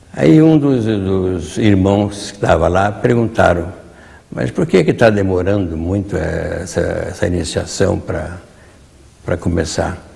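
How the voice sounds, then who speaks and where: A man talks at a fairly slow pace and fairly low pitch, with ordinary pitch variation. Noticeable background noise and audible room echo are present. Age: 80s+. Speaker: retired Masonic grand master. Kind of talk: interview storytelling. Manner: halting, with repetitions.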